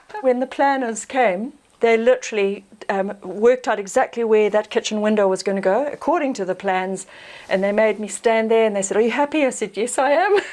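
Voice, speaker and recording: Speaking at a fairly quick pace, a woman talks in a New Zealand accent. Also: fairly high pitch for a woman, ordinary pitch variation. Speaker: off-grid homesteader. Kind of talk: casual interview.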